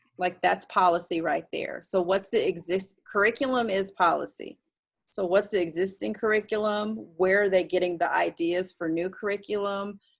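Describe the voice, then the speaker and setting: This is a woman with a normal speaking voice. Her medium pitch, moderate pace and fairly even intonation shape the delivery. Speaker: graduate course instructor. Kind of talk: online class discussion.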